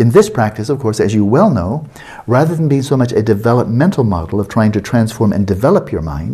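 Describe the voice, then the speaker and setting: Talking at a fairly quick pace, a man uses lively intonation in a somewhat breathy voice of medium pitch. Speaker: Buddhist meditation teacher. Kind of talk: lecture. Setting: meditation retreat.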